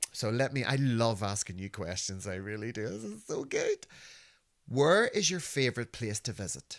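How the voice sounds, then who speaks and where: Speaking at a moderate pace in a Northern Irish accent, the voice has lively intonation and an animated tone. The recording is very clean, with a silent background. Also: man, medium pitch for a man. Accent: Northern Irish (Belfast). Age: 50s. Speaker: podcast host. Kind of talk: casual chat.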